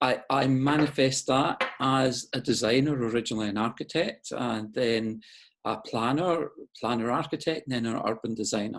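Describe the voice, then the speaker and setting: Against a quiet background, a man with a slight Scottish accent speaks at a medium pitch. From Scotland, Glasgow. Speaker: urban designer. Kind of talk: interview. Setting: video call. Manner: halting.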